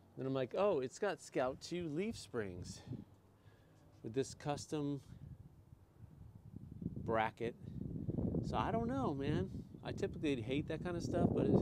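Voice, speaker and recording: A man speaks with long, frequent pauses over loud background noise, in a dry sound with no echo. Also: fairly slow pace. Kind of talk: casual vlog commentary. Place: street. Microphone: phone near.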